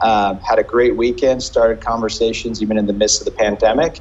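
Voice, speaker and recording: The speaker is a man with an American accent. He talks at a fairly quick pace. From US, New York. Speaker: restaurant and bar company CEO. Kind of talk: interview.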